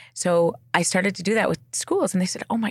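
An animated tone with vocal fry, in a Western Canadian accent. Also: woman. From Canada. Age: 40s. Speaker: clinical psychologist. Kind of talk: casual chat.

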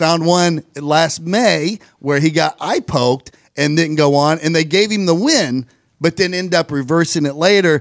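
The speaker has a plain, everyday voice with ordinary pitch variation. The loudness stays very even, and the pace is fairly slow. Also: man, fairly high pitch for a man. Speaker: podcast co-host. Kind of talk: casual chat.

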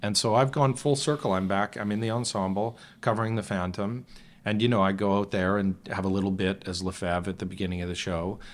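A man with a Canadian accent and a normal speaking voice, fairly low-pitched, fairly even in intonation and fairly quick, in a very clean recording with a silent background. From Western Canada, Calgary. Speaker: stage actor and singer. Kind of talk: casual chat.

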